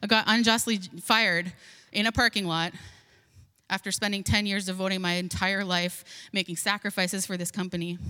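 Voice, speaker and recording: Fairly quick, flat, monotone speech from a woman at medium pitch, bright and sharp in tone, on a very clean recording with a silent background. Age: 40s. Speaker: pastor. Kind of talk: sermon.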